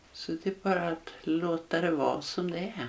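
Against noticeable background noise, a woman speaks fairly slowly in a fairly low voice. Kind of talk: guided meditation.

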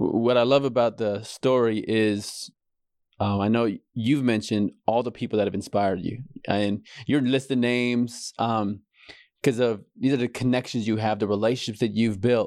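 A man of medium pitch speaks with an unremarkable speaking voice and fairly even intonation. His pace is moderate, and the background is quiet. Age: 30s. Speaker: podcast host, life coach. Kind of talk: interview.

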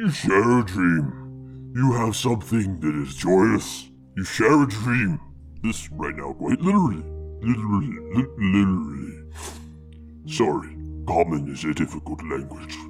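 Over clear background music, a man puts on a character voice with a very deep, low pitch, a warm, calm tone and a moderate pace. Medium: actual play. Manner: halting, struggles with common tongue; warm, fatherly, calm.

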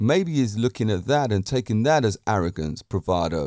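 A man with a British accent speaks at a moderate pace in an animated tone, his fairly low pitch swinging very widely. The recording is very clean and dry, close-miked with no echo and a silent background. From Britain. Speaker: podcast host and fitness and martial arts instructor. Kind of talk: casual monologue. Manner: assured, confident.

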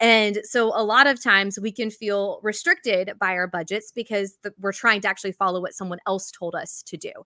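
A woman with a Southern accent speaks at a fairly quick pace with hardly any pauses, using a medium-pitched, bright, sharp voice and fairly even intonation, in a very clean recording with a silent background and a dry, close sound with no echo. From US South (Georgia). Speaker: budgeting coach and author. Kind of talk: interview.

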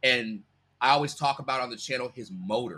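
A man talks with lively intonation. His tone is bright and sharp. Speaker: YouTuber, reaction creator. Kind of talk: casual interview chat. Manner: laid-back, joking, laughs often.

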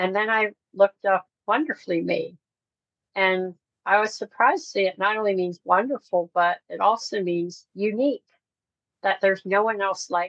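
A plain, everyday voice moves at a moderate pace with big swings in loudness and ordinary pitch variation, in a dry, close sound with no echo. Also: woman, medium pitch for a woman. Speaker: ministry founder and worship leader. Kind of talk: testimony. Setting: podcast interview.

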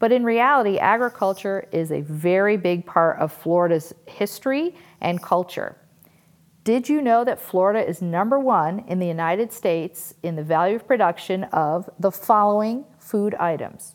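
A plain, everyday voice from a woman with an American accent, medium in pitch, lively in intonation, at a moderate pace. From Western Massachusetts, US. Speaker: podcast host. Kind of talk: scripted podcast intro.

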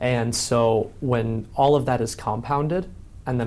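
Here a man speaks in a normal speaking voice with an American accent. His intonation is fairly even. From Chicago. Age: 20s. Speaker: writer and entrepreneur. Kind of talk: interview.

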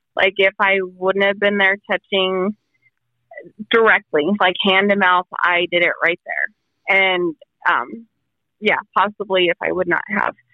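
An unremarkable speaking voice at a fairly slow pace. Loudness stays very even, and the intonation is fairly even. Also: woman, medium pitch for a woman. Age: 30s. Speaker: COVID survivor. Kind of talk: interview. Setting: phone call.

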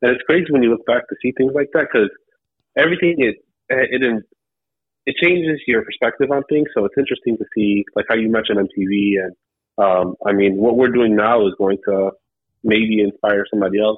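An ordinary speaking voice from a man, medium in pitch, with ordinary rise and fall. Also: fairly quick pace. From Cleveland, Ohio, US Midwest. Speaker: YouTuber documenting lowrider car shows. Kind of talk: casual interview chat. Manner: relaxed, casual, frequent 'man' and 'um'.

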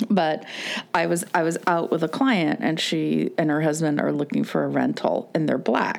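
A woman at a moderate pace, her loudness very even, over noticeable background noise. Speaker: podcast host. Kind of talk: casual chat.

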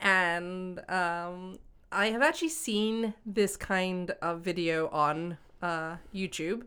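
Her tone is bright and sharp, and this woman speaks at a very slow pace with medium pitch. Pitch variation is ordinary, and the recording is very clean with a silent background. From Hong Kong. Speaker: podcast host. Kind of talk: casual chat. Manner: laughs often.

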